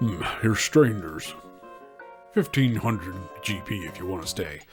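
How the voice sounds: A man's put-on character voice, fairly low in pitch, at a moderate pace over clear background music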